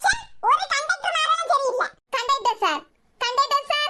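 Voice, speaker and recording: A squeaky cartoonish character voice moves at a moderate pace, with very wide pitch swings. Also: woman, extremely high pitch for a woman. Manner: chatty, repetitive, cheeky.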